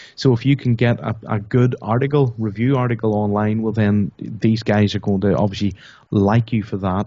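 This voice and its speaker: With a Northern Irish accent, a man talks at a moderate pace with fairly even intonation. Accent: Northern Irish, noticeable. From Northern Ireland. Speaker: internet marketer, product creator. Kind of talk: interview.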